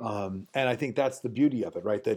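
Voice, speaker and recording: A man with an American accent in a dark, mellow tone, at a fairly quick pace against a quiet background. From New York City. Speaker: voice actor. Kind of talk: casual chat.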